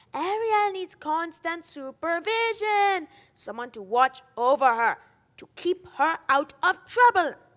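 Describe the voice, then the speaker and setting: In a put-on character voice, someone talks at an extremely high pitch and a fairly slow pace. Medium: stage play. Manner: pompous, fussy.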